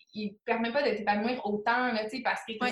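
In a Quebec accent, a woman speaks at a moderate pace with a fairly high pitch. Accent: Québécois French. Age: 20s. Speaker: motivation coach in network marketing. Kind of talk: casual interview. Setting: call.

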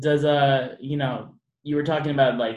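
There is audible room echo around a man's voice. He speaks at a fairly slow pace. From Las Vegas, Henderson. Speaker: podcast host. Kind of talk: casual chat.

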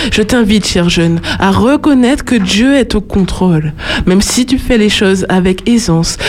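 Over noticeable background noise, a woman talks at a fairly slow pace with lively intonation and very even loudness. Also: medium pitch for a woman. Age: 20s. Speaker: student and slam poet. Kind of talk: slam poetry performance.

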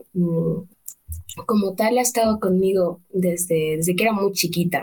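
Somewhat breathy at a moderate pace, a woman speaks at medium pitch with ordinary pitch variation. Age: 20s. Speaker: literature student. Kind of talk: interview. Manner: halting.

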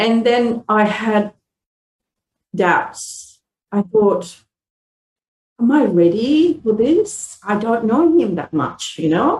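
A woman speaks very slowly in a fairly high, somewhat breathy voice with very wide pitch swings. Her speech is broken by long, frequent pauses. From Malaysia, Indian heritage. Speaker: church member. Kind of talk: interview testimony.

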